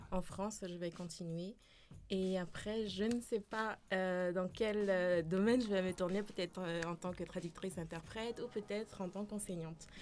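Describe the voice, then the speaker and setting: The speech keeps a moderate pace and fairly even intonation. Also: woman, medium pitch for a woman. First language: Dutch (speaking French). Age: 20s. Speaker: student. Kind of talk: interview. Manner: hesitant.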